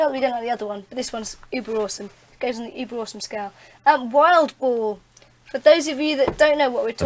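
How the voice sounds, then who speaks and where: Talking very fast in a Welsh accent, a woman uses a high voice with ordinary pitch variation. Her loudness swings a great deal. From Wales.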